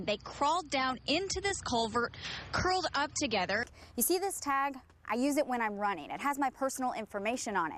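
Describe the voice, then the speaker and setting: High-pitched, a woman talks at a fairly quick pace. Her pitch swings very widely. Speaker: TV news reporter. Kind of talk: TV news report.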